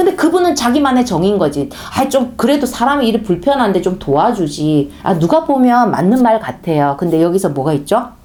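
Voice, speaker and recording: The speaker has a strong Gyeongsang accent. The pace is moderate. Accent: Gyeongsang dialect, strong pronunciation. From Gyeongsang region, South Korea. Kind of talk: sermon-style talk. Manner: conversational, storytelling.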